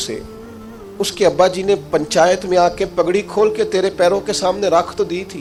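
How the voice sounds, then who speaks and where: A man speaks in a high-pitched voice. Music plays in the background. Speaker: Islamic scholar preacher. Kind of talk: Islamic sermon (bayan) to an audience. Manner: passionate, emphatic, rhetorical.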